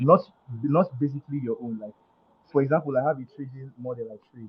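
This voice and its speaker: This man's voice sits at a medium pitch and is somewhat breathy. He moves along at a fairly quick pace. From Nigeria. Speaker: caller asking trading question. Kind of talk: question in live Q&A. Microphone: feedback echo from volume, noisy location.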